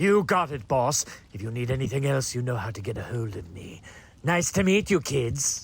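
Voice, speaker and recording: This man uses a put-on character voice. It sits at a medium pitch. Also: moderate pace. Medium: audio drama. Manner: laid-back, casual, cheerful.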